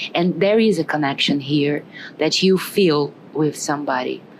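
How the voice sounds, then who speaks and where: A woman speaks at a fairly slow pace in a very deep, low voice with ordinary pitch variation over noticeable background noise. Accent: Brazilian. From Brazil. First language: Portuguese. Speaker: tarot reader. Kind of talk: tarot reading. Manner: warm, chatty.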